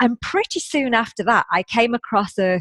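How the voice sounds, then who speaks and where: The sound is dry and close, with no echo. A woman speaks at a moderate pace with ordinary pitch variation. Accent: British. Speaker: positive psychologist and coach. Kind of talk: interview.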